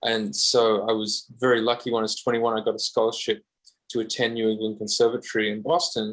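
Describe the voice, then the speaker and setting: In an Australian accent, a man talks at a very fast pace in a medium pitch with ordinary pitch variation. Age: 30s. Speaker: guitarist. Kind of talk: podcast interview.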